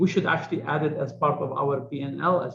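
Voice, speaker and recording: A man with a strong non-native accent speaks at a moderate pace in a fairly high pitch. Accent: heavy foreign accent, kept it. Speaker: business executive. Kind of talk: interview.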